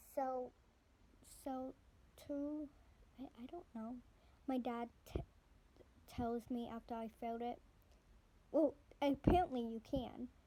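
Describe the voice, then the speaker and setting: A woman with a high pitch and a dark, mellow tone speaks at a fairly slow pace, with fairly even intonation. Her loudness swings widely, and she takes long, frequent pauses. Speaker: channel owner reading a book aloud. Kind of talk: reading aloud. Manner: speech difficulty, hesitant; halting, stumbles over words.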